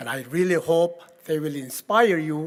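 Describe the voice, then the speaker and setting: With a Korean accent, a man speaks at a very slow pace in a fairly high pitch. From Korea, rural village. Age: 80s+. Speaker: keynote speaker. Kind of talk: keynote speech. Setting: gala event with audience.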